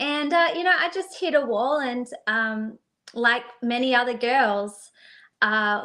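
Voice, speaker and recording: A woman with an Australian accent speaks at a very slow pace in a high, bright, sharp voice. Her intonation is lively. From Australia, Perth. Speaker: singer-songwriter. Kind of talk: interview. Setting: live stream.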